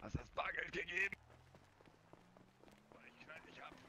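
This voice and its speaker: Using a put-on character voice, a man speaks at a high pitch and a moderate pace over clear background noise. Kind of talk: German street slang. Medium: game stream. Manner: aggressive, threatening, streetwise.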